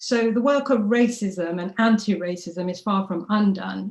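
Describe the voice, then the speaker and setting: With a London accent, a woman talks with fairly even intonation. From London, East End (Tower Hamlets). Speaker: rally speaker, anti-racism activist. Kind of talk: rally speech.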